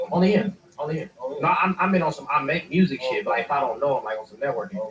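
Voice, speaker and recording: Very fast, high-pitched male speech with lively intonation, big swings in loudness and noticeable background noise. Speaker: rapper. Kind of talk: casual chat. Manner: soft-spoken.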